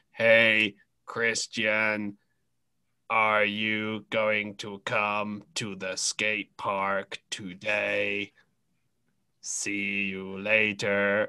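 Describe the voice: A man puts on a robotic character voice with a fairly low pitch. He speaks very slowly in a monotone, flat way.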